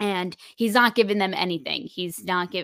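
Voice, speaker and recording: Recorded very clean with a silent background and a dry, close sound with no echo, a woman speaks at a medium pitch in a bright, sharp tone. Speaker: podcast host. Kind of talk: casual chat. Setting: video recording session. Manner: animated, jokey.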